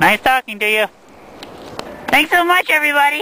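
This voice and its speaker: In a cartoonish character voice, a man speaks at a fairly quick pace with an extremely high pitch. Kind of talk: outdoor street interviews. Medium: puppet.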